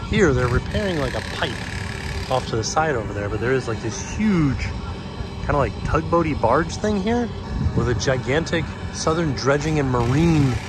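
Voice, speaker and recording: A man is heard in a dry sound with no echo, with clear music in the background. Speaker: travel vlogger. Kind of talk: casual vlog chat. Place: street. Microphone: phone near.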